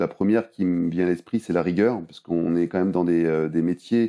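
Recorded very clean with a silent background, a man speaks at a moderate pace in a very deep, low voice with a dark, mellow tone. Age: 30s. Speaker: airline pilot. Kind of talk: interview. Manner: halting, many repetitions.

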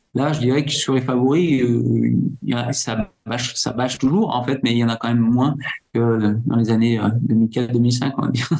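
A man's medium-pitched voice moves at a very slow pace. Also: fairly even intonation. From French Alps, Isère. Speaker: ultra-trail runner. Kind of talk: interview. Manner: hesitant, many fillers.

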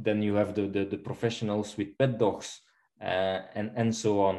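A man speaks at a fairly low pitch in a dark, mellow tone, his intonation flat and monotone. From Belgium. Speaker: dog trainer. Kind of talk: casual interview. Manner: halting, many fillers and repetitions.

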